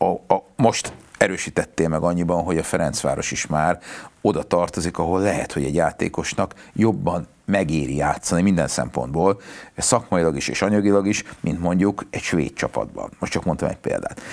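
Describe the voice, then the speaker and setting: A man speaks with a very deep, low pitch. Vocal fry runs through his voice. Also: ordinary pitch variation, moderate pace. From Hungary. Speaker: lawyer and former football federation spokesman. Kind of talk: casual interview chat about football. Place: studio. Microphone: lapel.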